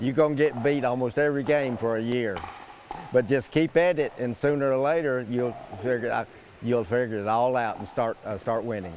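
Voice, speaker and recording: Over noticeable background noise, a man talks at a fairly quick pace with a medium pitch and ordinary pitch variation. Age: 80s+. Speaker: senior pickleball champion. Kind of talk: interview. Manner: halting.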